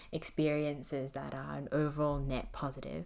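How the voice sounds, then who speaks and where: A woman's very deep, low voice comes through on a very clean recording with a silent background. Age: 20s. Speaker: solo podcast host. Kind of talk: casual monologue. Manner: casual, filler-heavy.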